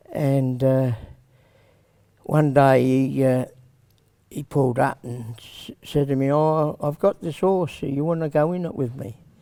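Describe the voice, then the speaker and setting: With a strong Australian accent, a man speaks at a fairly slow pace with long, frequent pauses. His voice is fairly high with fairly even intonation and a dark, mellow tone. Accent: broad Australian. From South Australia, Adelaide. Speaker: harness racing trainer. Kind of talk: casual interview. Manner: halting.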